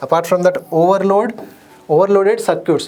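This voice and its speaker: Over audible room echo, a man talks at a fairly quick pace. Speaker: exam coaching teacher. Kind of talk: lecture. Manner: fast.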